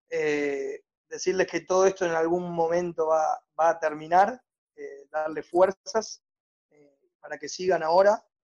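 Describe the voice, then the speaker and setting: A man speaks in a Rioplatense accent at a high pitch. His pace is fairly slow and his intonation fairly even. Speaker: youth movement director. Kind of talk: casual interview.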